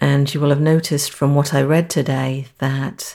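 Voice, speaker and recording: With an American accent, a woman speaks in a dark, mellow tone at a very deep, low pitch. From London, England. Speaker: podcast host reading the Bible. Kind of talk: casual monologue; scripture reading.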